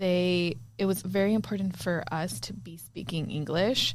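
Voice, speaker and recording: In a Spanish accent, a woman speaks fairly slowly at a fairly low pitch, with ordinary pitch variation and big swings in loudness, and audible room echo. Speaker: podcast co-host. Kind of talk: casual chat.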